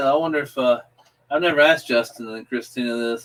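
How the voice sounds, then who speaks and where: Speaking at a fairly quick pace, a man with a Southern accent keeps a medium pitch and fairly even intonation. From US South, South Carolina. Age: 30s. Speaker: livestream panelist. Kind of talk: casual chat.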